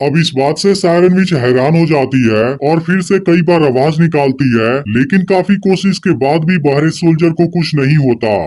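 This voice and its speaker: A man with a fairly high voice speaks at a moderate pace with hardly any pauses. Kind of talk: YouTube movie-recap narration. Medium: solo performance. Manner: continuous, suspense-building.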